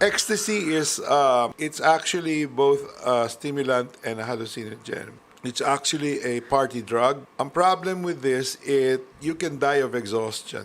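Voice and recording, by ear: A man's medium-pitched, fairly bright voice moves at a moderate pace with ordinary pitch variation.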